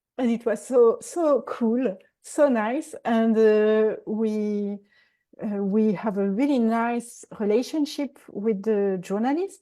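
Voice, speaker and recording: In a strong French accent, a woman speaks with a fairly high pitch, ordinary pitch variation and a dark, mellow tone against a quiet background. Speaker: executive coach and TV expert. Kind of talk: interview. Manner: halting.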